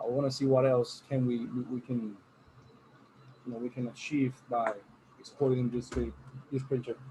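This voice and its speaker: A man speaks at a medium pitch with flat, monotone intonation. He leaves long, frequent pauses over noticeable background noise. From Puerto Rico. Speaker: workshop instructor. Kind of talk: online training. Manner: fast.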